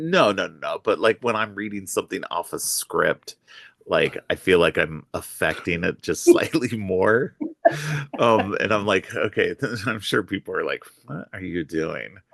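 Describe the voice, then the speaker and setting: A man speaks at a fairly slow pace, his voice dry and close with no echo. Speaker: podcast host.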